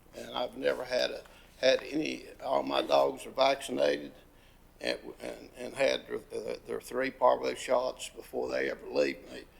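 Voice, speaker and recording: This man speaks with an Appalachian accent. His pace is fairly slow. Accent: Southern US, Appalachian North Carolina. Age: 70s. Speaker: dog breeder and hunter giving public comment. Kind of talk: public comment, informal. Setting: county commission meeting. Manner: halting, many fillers and repetitions.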